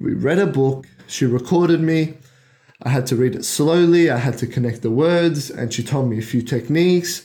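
This man has a fairly high pitch, a dark, mellow tone and a somewhat breathy sound. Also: ordinary pitch variation, moderate pace. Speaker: podcast host. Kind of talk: solo monologue, personal story. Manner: reflective, motivational.

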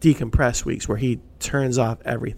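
A man's voice with a dark, mellow tone. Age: 40s. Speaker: business podcast co-host. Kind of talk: casual chat. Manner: animated.

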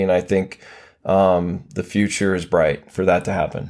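Speaking with an American accent, a man keeps a fairly low pitch and a monotone, flat intonation. The recording is very clean and the background silent. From Montana, Billings. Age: 50s. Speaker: motorcycle hill climb rider and announcer. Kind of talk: casual interview chat.

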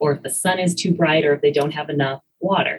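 A woman speaks at a fairly quick pace in a very deep, low voice. It is somewhat breathy, with fairly even intonation. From rural US, farm. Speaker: biology professor. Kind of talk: interview.

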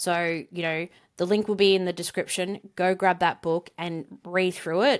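The speaker has an Australian accent, a moderate pace and fairly even intonation, on a very clean recording with a silent background. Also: woman, fairly low pitch for a woman. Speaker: podcast co-host. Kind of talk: casual conversational podcast discussion.

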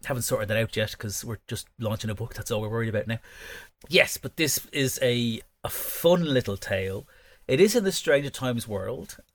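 On a very clean recording with a silent background, a man talks at a fairly quick pace in a medium pitch, his somewhat breathy voice carrying lively intonation. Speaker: author and podcast host. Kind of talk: casual chat. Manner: chatty, jokey, rambling.

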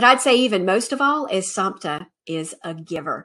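A woman's medium-pitched, plain, everyday voice with lively intonation, in a very clean recording with a silent background. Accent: American. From Alabama, US South (Montgomery). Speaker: podcast host. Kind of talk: video monologue recommending contacts. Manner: upbeat, casual.

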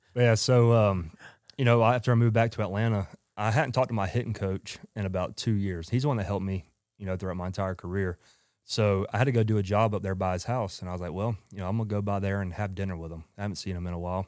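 Very fast and with fairly even intonation, a man with a strong Southern US accent speaks at a fairly low pitch on a very clean recording with a silent background. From Georgia, US South. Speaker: company owner, former baseball player. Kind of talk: casual podcast interview.

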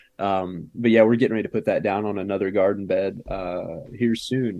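Against a quiet background, a man with an American accent and a plain, everyday voice speaks at a fairly quick pace, his pitch medium and his intonation fairly even. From US suburbia. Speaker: organic farmer. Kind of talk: casual interview. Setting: remote video call.

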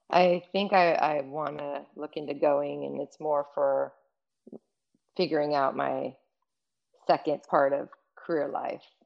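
A woman with a Californian accent speaks at a very slow pace, leaving long, frequent pauses. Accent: Californian American. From Los Angeles, US. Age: 50s. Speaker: fashion executive. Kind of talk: casual chat.

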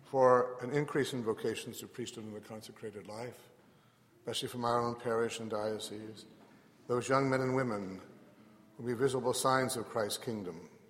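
This man has an ordinary speaking voice at a medium pitch, talking at a moderate pace with fairly even intonation. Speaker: parish priest. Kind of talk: liturgy, leading prayers. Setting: church.

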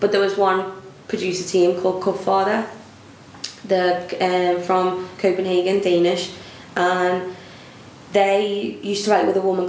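Over noticeable background noise, a woman with a Liverpool accent talks at a moderate pace and a medium pitch. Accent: Scouse. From Liverpool, England. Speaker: singer-songwriter and footballer. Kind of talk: interview. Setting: festival venue. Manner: animated.

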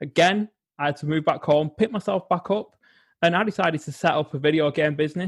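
A man with an English accent speaks at a fairly quick pace in a fairly high pitch with ordinary pitch variation, recorded dry and close with no echo against a quiet background. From England. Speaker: psychologist and well-being coach. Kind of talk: interview.

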